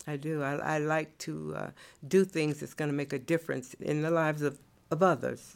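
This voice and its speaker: At a moderate pace, a woman with an American accent speaks in a very deep, low pitch and monotone, flat intonation, captured in a very clean recording with a silent background. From US South, North Carolina (Durham). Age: 70s. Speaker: state education department employee. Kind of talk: interview.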